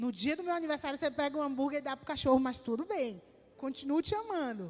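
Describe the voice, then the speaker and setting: A high-pitched woman with lively intonation at a fairly quick pace. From Brazil, sertão of Bahia. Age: 20s. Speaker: missionary. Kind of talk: sermon testimony. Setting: church service.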